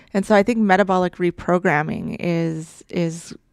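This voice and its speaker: Her voice is an unremarkable speaking voice, fairly low for a woman, moving at a moderate pace with fairly even intonation. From Saskatchewan, Canada. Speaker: immunology researcher. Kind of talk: interview.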